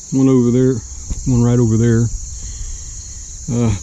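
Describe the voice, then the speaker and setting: A man speaks at medium pitch with ordinary pitch variation. Noticeable background noise runs behind him. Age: 60s. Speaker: hobby farmer and gardener. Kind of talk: walking tour of property. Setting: outdoors. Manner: casual, hesitant with fillers.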